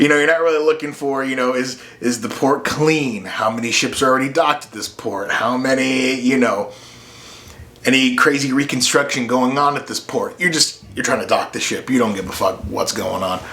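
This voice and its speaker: Moderate pacing and ordinary pitch variation against noticeable background noise. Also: man, medium pitch for a man. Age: 30s. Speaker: podcast host. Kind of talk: casual monologue. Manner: casual, with fillers.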